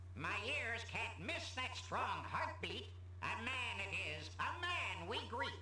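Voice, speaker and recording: Someone performs a put-on character voice at a fairly slow pace. Background noise is clearly audible. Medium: game stream. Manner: speaks in rhyming couplets.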